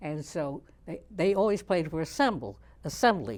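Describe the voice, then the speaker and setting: At a moderate pace, a woman with a very deep, low pitch speaks with lively intonation on a very clean recording with a silent background. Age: 90s. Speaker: community elder interviewee. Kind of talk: oral history interview.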